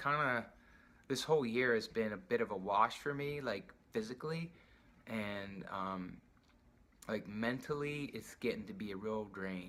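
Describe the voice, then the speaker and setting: A man mumbles at a moderate pace with ordinary pitch variation. His tone is bright and sharp. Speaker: patient sharing surgery recovery. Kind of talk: video diary. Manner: mumbling.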